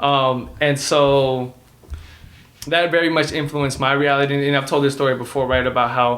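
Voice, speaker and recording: Monotone, flat intonation from a man with a Spanish accent. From Dallas, Texas, US. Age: 20s. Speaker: podcast co-host. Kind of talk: casual chat. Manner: halting, many fillers.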